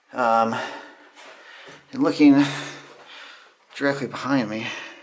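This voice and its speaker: Someone with an American accent speaks at a moderate pace. Noticeable background noise runs under the voice. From California, USA. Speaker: abandoned mine explorer. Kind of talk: casual narration while exploring on camera.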